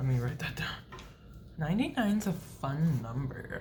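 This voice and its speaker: In a room with audible echo and noticeable background noise, a woman with a very deep, low pitch uses lively intonation at a fairly slow pace. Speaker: beauty vlogger. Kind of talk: casual vlog update. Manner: quiet.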